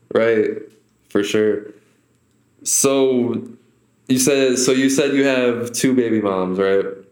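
A man's medium-pitched voice at a very slow pace, with long, frequent pauses, very even loudness, fairly even intonation and audible room echo. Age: 20s. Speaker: podcast host. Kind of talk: casual interview.

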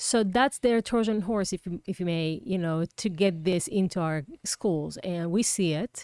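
In an Israeli accent, a woman of medium pitch speaks at a fairly slow pace with hardly any pauses and ordinary pitch variation, in a dry, close sound with no echo. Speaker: political candidate. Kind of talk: interview.

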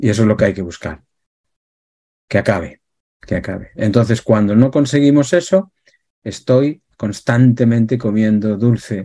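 Using lively intonation at a fairly slow pace, a man speaks in a dark, mellow tone at medium pitch. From Galicia, Spain. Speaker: emotional therapist. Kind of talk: interview talk.

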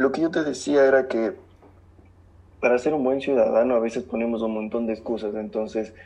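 A man at medium pitch speaks at a moderate pace with a dark, mellow tone and ordinary pitch variation. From southern Ecuador. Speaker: economist. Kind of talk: casual chat.

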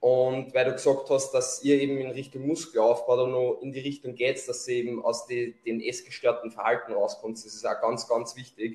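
In a Lower Austrian accent, a man talks at a moderate pace with hardly any pauses. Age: 20s. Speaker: bodybuilding athlete and coach. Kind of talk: podcast interview.

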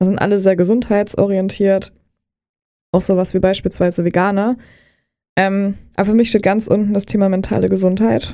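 The tone is dark and mellow, with monotone, flat intonation and very even loudness. The pace is moderate, broken by long, frequent pauses. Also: woman, medium pitch for a woman. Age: 20s. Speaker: nutrition coach. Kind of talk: casual interview. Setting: studio.

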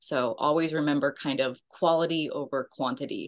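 A woman speaks with an American accent over a quiet background. Her pitch is very deep and low, with ordinary variation. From Texas, Richardson. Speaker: nonprofit founder. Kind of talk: interview.

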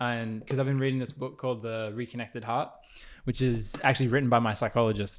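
Speaking at a fairly quick pace, a man with an Australian accent keeps a monotone, flat intonation. The recording is very clean with a silent background. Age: 20s. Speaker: podcast host and basketball player. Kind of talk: casual chat. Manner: halting.

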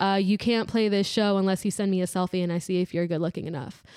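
A woman with a normal speaking voice talks at medium pitch with fairly even intonation on a very clean recording with a silent background. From Maryland, US. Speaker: guitarist. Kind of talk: casual chat. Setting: studio.

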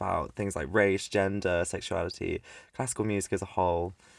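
On a very clean recording with a silent background, a man with a British accent speaks at a moderate pace. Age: young (19). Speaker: music student and podcast co-host. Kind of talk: casual chat. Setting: home recording, mic under a desk with a duvet. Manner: animated, laughing often.

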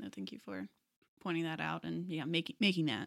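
A woman with an American accent speaks at a very deep, low pitch with vocal fry and very wide pitch swings. The recording is very clean, dry and close, with no echo and a silent background. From Texas. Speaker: podcast host. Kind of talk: interview-style podcast conversation. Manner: warm, enthusiastic.

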